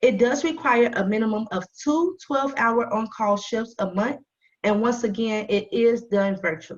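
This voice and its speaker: Somewhat breathy, a woman speaks at a moderate pace, her fairly high pitch showing ordinary variation. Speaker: nonprofit volunteer recruiter. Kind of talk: presentation.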